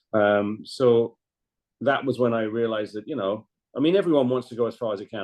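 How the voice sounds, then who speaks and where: Speaking very fast in a London accent, a man keeps a medium pitch with ordinary pitch variation. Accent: southern English (London). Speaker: former ice hockey goaltender. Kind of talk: podcast interview.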